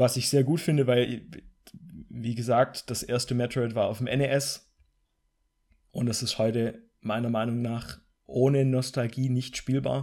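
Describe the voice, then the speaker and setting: Slow-ish and flat, a man with a medium pitch and a dark, mellow tone speaks in a monotone at a fairly slow pace with long, frequent pauses. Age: 20s. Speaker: gaming podcast co-host. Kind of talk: casual chat.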